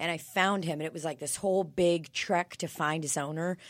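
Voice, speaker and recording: On a very clean recording with a silent background, a woman with a fairly low pitch talks at a moderate pace with ordinary pitch variation. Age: 20s. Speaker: comedian. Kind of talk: casual chat. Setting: studio. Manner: animated.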